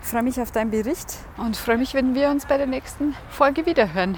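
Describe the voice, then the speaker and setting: Amid noticeable background noise, a high-pitched woman speaks in a cheerful tone with lively intonation. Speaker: podcast host, coach. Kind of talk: motivational monologue while running. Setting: outdoors, running through city. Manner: cheerful, laughing.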